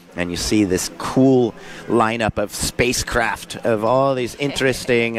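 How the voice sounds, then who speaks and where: A man keeps a fairly even intonation as noticeable background noise runs underneath. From Southern California, San Diego area. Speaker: surf contest commentator. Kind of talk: live commentary. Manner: casual, filler-heavy.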